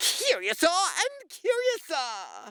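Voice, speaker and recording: The voice is a put-on character voice at an extremely high pitch. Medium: read story. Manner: playful, curious.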